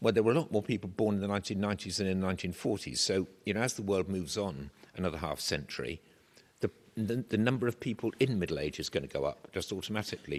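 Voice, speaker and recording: A man with an English accent, fairly low in pitch, at a very fast pace with lively intonation. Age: 70s. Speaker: professor. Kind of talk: lecture.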